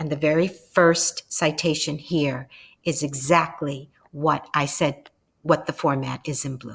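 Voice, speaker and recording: A woman speaks at a very deep, low pitch in a somewhat breathy voice. Her pace is fairly slow and her intonation fairly even. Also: big swings in loudness. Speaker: instructor. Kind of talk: narrated lecture slides.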